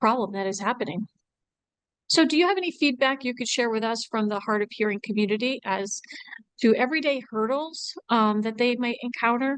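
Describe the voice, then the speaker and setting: Soft-spoken and high-pitched, a woman talks at a fairly quick pace with ordinary pitch variation. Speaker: nonprofit director and host. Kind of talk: interview.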